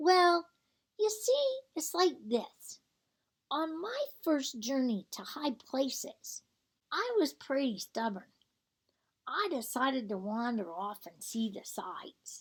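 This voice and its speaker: A woman puts on a character voice, high-pitched and fairly slow. Her pitch swings very widely. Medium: read story. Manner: gentle, reassuring.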